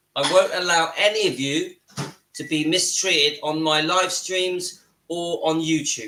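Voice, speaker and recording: A man talks in a southern English accent, his pitch high and his pace fairly slow. His tone is bright and sharp, with fairly even intonation. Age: 50s. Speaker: YouTube channel host. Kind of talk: live stream chat. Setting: home kitchen.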